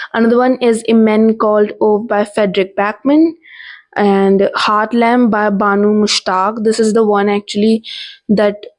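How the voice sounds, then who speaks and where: Speaking with an Indian accent, the voice moves at a fairly slow pace in a monotone, flat intonation. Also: woman. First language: Hindi. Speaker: book vlogger. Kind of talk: casual vlog talk. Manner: hesitant, many fillers.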